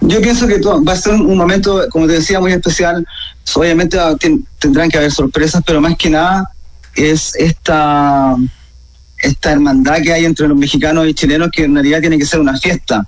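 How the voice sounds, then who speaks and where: Through noticeable background noise, a man speaks at a moderate pace with very even loudness and ordinary pitch variation. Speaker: rock musician. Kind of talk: radio interview.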